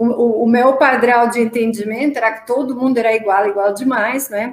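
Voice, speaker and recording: A woman with a Romanian accent, fairly high pitch, ordinary pitch variation and a moderate pace. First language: Romanian (speaking Portuguese). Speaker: marketing executive. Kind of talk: panel discussion. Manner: halting.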